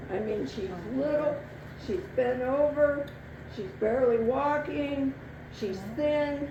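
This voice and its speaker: A woman with a high pitch and ordinary pitch variation speaks at a very slow pace with long, frequent pauses. Audible room echo and noticeable background noise surround her. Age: 70s. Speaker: storyteller. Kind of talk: live storytelling. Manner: animated.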